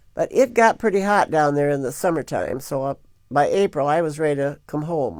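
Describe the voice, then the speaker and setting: A woman with a Midwestern US accent, a very deep, low pitch, a dark, mellow tone, ordinary pitch variation and a moderate pace. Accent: US Midwest. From Michigan. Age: 70s. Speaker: grandmother telling life story. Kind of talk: oral history interview.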